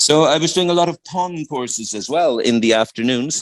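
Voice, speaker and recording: Speaking in an Irish accent at a moderate pace, a man sounds dry and close with no echo. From Ireland. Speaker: English teacher and music educator. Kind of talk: radio interview.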